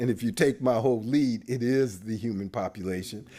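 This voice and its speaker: A man's pitch varies in an ordinary way on a very clean recording where the background is silent. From US West Coast (Oakland, California). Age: 60s. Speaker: demographer. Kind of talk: lecture. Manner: casual, conversational.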